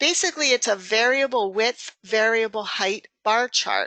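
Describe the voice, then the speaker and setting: This woman's fairly high voice has a bright, sharp tone and ordinary pitch variation, delivered at a fairly slow pace in a dry, close recording with no echo. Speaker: software trainer. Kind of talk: webinar tutorial. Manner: halting.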